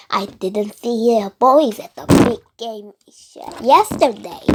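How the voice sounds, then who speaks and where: A woman's put-on character voice, fairly high in pitch, at a fairly slow pace with big swings in loudness. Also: ordinary pitch variation. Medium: read story. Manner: gloating.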